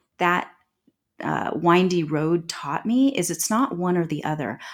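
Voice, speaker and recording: A plain, everyday voice from a woman, fairly low in pitch, with lively intonation and a fairly slow pace. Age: 40s. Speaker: transformation and intuitive guide. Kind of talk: casual interview.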